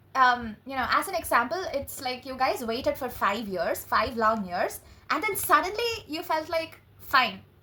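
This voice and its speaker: A woman speaks in a raised, projected voice at a high pitch, animated and excited, with very wide pitch swings. Noticeable background noise runs underneath. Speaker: tarot reader. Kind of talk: tarot reading monologue. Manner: animated, excited; halting, stuttering.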